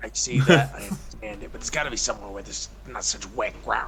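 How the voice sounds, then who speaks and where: A man rattles along at a very fast pace in a put-on character voice. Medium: actual play.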